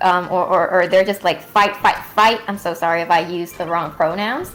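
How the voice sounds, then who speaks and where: Over noticeable background noise, a woman with a non-native accent speaks at a fairly quick pace. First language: not English. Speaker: livestream co-host. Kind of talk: casual chat. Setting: livestream. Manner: halting.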